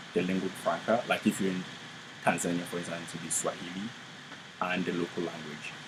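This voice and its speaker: A man with a Ghanaian accent speaks in a very deep, low pitch with monotone, flat intonation and long, frequent pauses. Noticeable background noise runs underneath. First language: Twi. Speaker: graduate student in anthropology. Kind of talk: interview. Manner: halting.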